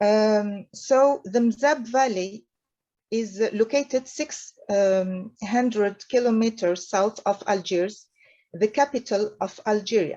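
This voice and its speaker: Speaking very slowly, a woman with a fairly high pitch and a dark, mellow tone shows ordinary pitch variation. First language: French. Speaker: architect and urban planning researcher. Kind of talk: conference presentation. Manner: halting.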